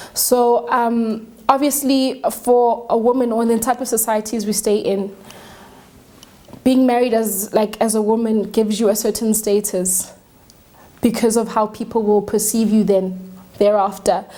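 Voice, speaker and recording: A woman speaks at a moderate pace with a fairly high pitch. Her intonation is monotone and flat, with noticeable background noise. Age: 20s. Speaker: young married woman, talk show guest. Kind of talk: studio talk show discussion. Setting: studio.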